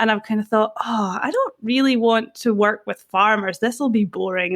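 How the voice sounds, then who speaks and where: This woman's pace is moderate. She has a Scottish accent. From Scotland. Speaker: personal brand consultant. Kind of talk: podcast interview.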